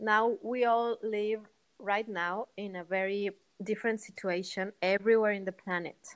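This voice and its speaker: With a non-native accent, a woman speaks at a medium pitch and moderate pace in a monotone, flat intonation. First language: not English. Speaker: meditation teacher. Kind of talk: guided conversation about meditation. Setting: video call.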